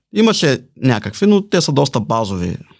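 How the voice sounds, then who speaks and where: The recording is very clean, with a silent background. A man talks. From Bulgaria, Balchik. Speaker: salesman. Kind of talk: interview.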